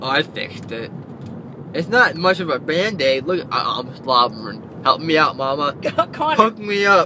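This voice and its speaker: A man's lively intonation at a moderate pace, with noticeable background noise and a dry sound with no echo. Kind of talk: casual groggy chat. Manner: groggy, numb-mouthed, slurred drooling speech.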